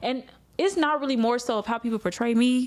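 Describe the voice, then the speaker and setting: In a very clean recording with a silent background, a woman with a slight country accent speaks in an animated tone with ordinary pitch variation. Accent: slight country twang. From Arkansas, Little Rock. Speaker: news reporter and anchor. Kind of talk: casual chat.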